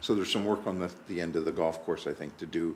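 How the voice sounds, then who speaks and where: A very deep, low-pitched man's voice with ordinary pitch variation and audible room echo. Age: 60s. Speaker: municipal councillor. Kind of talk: council meeting discussion.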